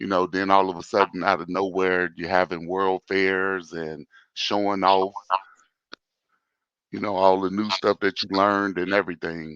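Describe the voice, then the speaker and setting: A soft-spoken man talks at a moderate pace in a very deep, low voice with monotone, flat intonation. The sound is dry and close with no echo, over a quiet background. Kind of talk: casual chat.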